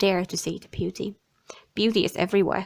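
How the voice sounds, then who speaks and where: Her intonation stays fairly even as this woman speaks at a medium pitch. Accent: Finnish. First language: Finnish. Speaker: tarot and oracle card reader. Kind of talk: card reading monologue. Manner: halting.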